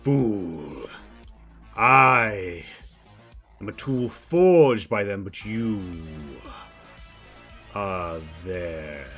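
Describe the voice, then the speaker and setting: A man puts on a character voice, fairly low in pitch, and speaks at a very slow pace with long, frequent pauses. Faint music plays in the background. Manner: menacing, scornful.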